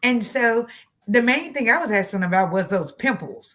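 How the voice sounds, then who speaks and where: Lively intonation in a Texan accent. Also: woman. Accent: Texas country. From Texas. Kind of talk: casual, conversational.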